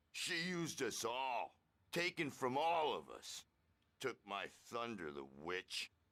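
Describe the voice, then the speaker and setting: A put-on character voice at a fairly slow pace. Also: man, medium pitch for a man. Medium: video game. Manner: grandiose, theatrical.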